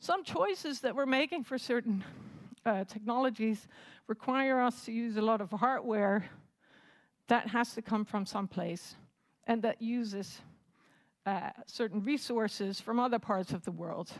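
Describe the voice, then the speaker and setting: A woman at a moderate pace, fairly high in pitch with ordinary variation, and long, frequent pauses. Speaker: assistant professor, conference speaker. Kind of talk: conference talk. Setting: stage with audience.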